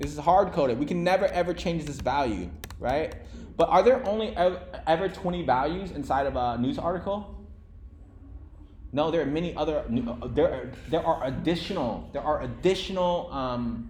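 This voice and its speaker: A man speaks with lively intonation. Audible room echo and noticeable background noise are present. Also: fairly high pitch for a man. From Vietnam. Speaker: programming instructor. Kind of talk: live coding lecture to a class. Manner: fast; casual, filler-heavy.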